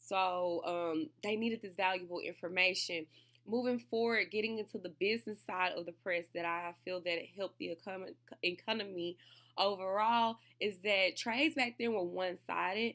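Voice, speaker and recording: At a moderate pace, a woman speaks with medium pitch and ordinary pitch variation in a very clean recording with a silent background. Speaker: student. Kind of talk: class video presentation. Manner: halting, with fillers and restarts.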